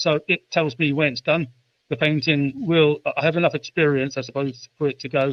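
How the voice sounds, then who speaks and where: A man with a British accent at a moderate pace, with ordinary pitch variation. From United Kingdom. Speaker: artist, writer, musician, poet. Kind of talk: interview answer. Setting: remote call.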